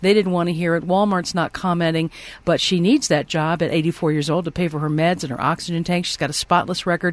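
A woman's normal speaking voice, fairly low in pitch, with fairly even intonation, a fairly quick pace and a quiet background. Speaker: radio news anchor. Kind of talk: radio news reading.

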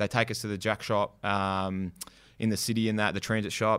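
In a very clean recording with a silent background, a man with an Australian accent talks at a fairly quick pace in a fairly low, monotone, flat voice. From western Melbourne, Australia. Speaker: graffiti artist and rapper. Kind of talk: casual interview chat.

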